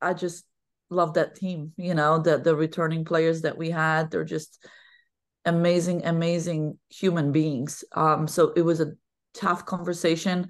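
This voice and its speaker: With a Polish accent, a woman speaks at a fairly slow pace in a fairly low pitch and fairly even intonation, against a quiet background. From Poland. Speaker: women's basketball head coach. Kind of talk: podcast interview. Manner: talkative.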